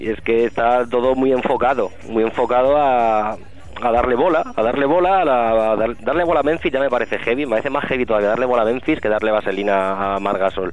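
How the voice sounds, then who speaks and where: The speech comes at a fairly quick pace with hardly any pauses and very even loudness, against noticeable background noise. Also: man, medium pitch for a man, ordinary pitch variation. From Madrid, Spain (family from Soria). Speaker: basketball journalist. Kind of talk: casual radio interview. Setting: radio studio.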